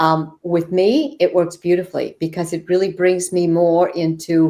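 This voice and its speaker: A woman has a normal speaking voice with a fairly low pitch. She speaks at a fairly slow pace. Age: 60s. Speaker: yoga therapist and shaman. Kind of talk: podcast interview.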